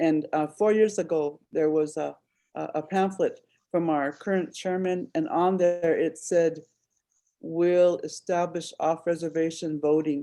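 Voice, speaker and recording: A woman speaks at a fairly slow pace in a dark, mellow tone, her fairly low voice held to a fairly even intonation against a quiet background. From Shell Creek District, MHA Nation, North Dakota. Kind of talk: conference call Q&A. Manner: halting, many fillers.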